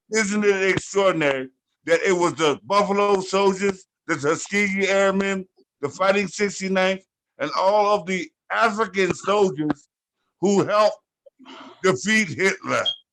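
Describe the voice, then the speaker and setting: A man's high-pitched voice at a fairly slow pace, with ordinary pitch variation and long, frequent pauses. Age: 60s. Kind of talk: group discussion.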